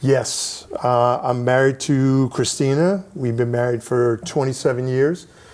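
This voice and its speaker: Against noticeable background noise, a man speaks at a fairly slow pace and medium pitch, with fairly even intonation, very even loudness and hardly any pauses. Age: 60s. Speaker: retired salesman with Parkinson's, interviewee. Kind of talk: interview.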